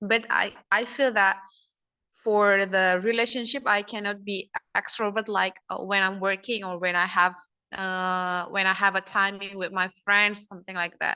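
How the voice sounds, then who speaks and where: Against a quiet background, a woman with a non-native accent speaks at a moderate pace in a medium pitch, her tone bright and sharp and her intonation flat and monotone. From Asia. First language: not English. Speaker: first-time club visitor. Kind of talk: impromptu speech. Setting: video call. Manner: halting.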